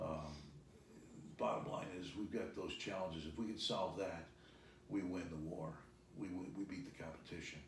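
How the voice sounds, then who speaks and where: With audible room echo, a man speaks at a moderate pace in a very deep, low, somewhat breathy voice with ordinary pitch variation. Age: 60s. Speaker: business executive. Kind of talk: interview.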